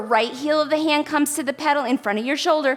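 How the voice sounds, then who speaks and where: A woman speaks with a high pitch. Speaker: pilates instructor. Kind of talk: workout instruction. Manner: rhythmic cueing with breath counts.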